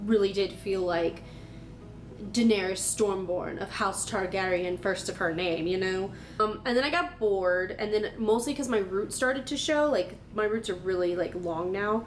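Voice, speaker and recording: With music in the background, a woman talks at a fairly slow pace and a medium pitch, with ordinary pitch variation. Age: 30s. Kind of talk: casual talk to camera.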